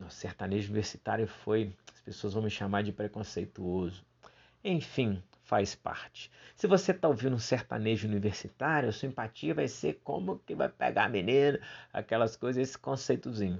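Big swings in loudness run through this man's speech. His intonation is lively and his pace moderate. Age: 40s. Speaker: clown and theatre teacher. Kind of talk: unscripted solo podcast monologue.

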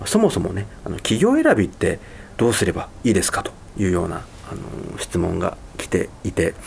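A man keeps to a moderate tempo while noticeable background noise runs underneath. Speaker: radio host. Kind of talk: radio talk.

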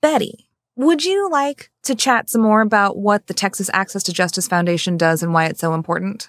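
In an ordinary speaking voice, a woman with an American accent speaks at a fairly quick pace and medium pitch with lively intonation, on a very clean recording with a silent background and a dry, close sound with no echo. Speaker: podcast host, lawyer, bar association president. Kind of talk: interview conversation.

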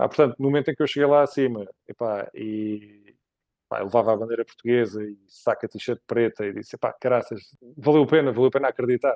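It is a normal speaking voice: a man at a medium pitch, speaking fairly quickly with fairly even intonation. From Portugal, Évora (Alentejo). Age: 40s. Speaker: ultra-endurance cyclist. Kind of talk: casual interview.

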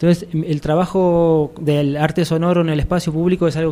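With an Argentine accent, a man talks at a moderate pace in a fairly high pitch and a monotone, flat intonation. Noticeable background noise runs underneath. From Argentina. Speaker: musician and arts curator. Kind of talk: radio interview.

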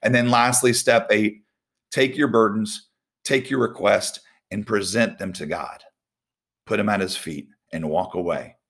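A normal speaking voice, lively in intonation, moves along at a medium speed. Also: man. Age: 40s. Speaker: volleyball coach giving devotionals. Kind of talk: devotional talk. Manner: casual, conversational with fillers.

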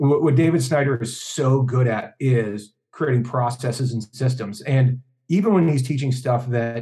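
Somewhat breathy and dark, mellow in tone, a man's medium-pitched voice moves at a moderate pace with ordinary pitch variation. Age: 40s. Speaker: hypnotist and convention organizer. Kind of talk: casual chat.

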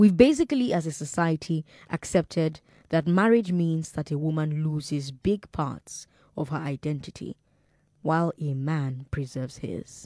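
A woman with a Nigerian accent speaks at a moderate pace in a very deep, low pitch, her tone dark and mellow, with ordinary pitch variation and a dry, close sound with no echo. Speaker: radio host. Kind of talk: call-in radio talk show.

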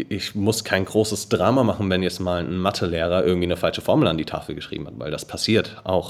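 Here is a man with a very deep, low pitch. He talks fairly quickly. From Germany, Darmstadt (Hesse). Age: 20s. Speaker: edtech founder. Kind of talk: podcast interview.

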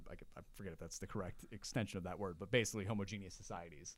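Talking very fast, the speaker has an American accent. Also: man. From US Northeast, Long Island. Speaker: political commentator. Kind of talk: casual chat.

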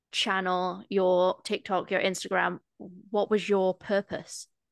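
The speaker has an East Midlands accent, recorded with a dry, close sound with no echo over a quiet background. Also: woman. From East Midlands, England (near Nottingham). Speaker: podcast host. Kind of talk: casual interview chat.

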